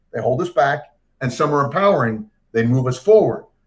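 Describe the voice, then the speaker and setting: Energetic and somewhat breathy, a man talks at a moderate pace with lively intonation. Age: 60s. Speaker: career coach. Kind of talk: interview. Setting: livestream.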